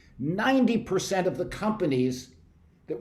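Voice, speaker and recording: Audible room echo carries a man's animated tone and lively intonation. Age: 60s. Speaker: researcher presenting survey findings. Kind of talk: presentation. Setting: video call.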